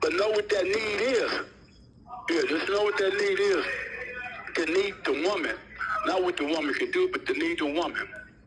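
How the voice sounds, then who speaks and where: A man talks at a moderate pace with long, frequent pauses and very even loudness. Noticeable background noise sits behind him. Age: 60s. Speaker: prison inmate, gang founder. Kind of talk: interview.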